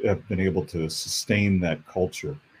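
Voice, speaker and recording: Speaking at a fairly slow pace, a man with a very deep, low pitch has a dark, mellow, somewhat breathy tone and ordinary pitch variation. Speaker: longtime broadcaster and former university employee. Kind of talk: interview and panel discussion.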